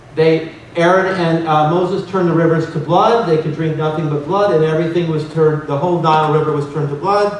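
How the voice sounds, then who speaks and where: A man's fairly high-pitched voice at a fairly quick pace, with fairly even intonation, audible room echo, and noticeable background noise. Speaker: researcher and conference speaker. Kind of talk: conference lecture with slides. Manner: fast.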